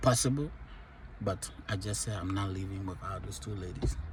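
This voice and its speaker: A man at a moderate pace, somewhat breathy, with lively intonation. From Liberia. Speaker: vlogger sharing life stories. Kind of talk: personal testimony.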